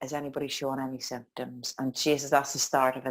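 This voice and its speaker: A woman with a Northern Irish accent on a very clean recording with a silent background. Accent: Northern Irish (Tyrone). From County Tyrone, Northern Ireland. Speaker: life coach and dance instructor. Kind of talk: interview answer. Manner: upbeat.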